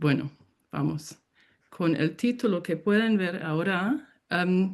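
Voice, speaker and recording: A woman's fairly low voice in a non-native accent, very slow, with lively intonation and very even loudness. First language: English (speaking Spanish). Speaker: professor, keynote speaker. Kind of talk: lecture. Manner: halting.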